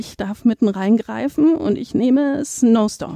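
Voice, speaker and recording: Speaking very slowly, a woman uses a fairly high pitch with ordinary pitch variation. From Berlin, Germany. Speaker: museum curator. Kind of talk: interview. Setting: museum foyer.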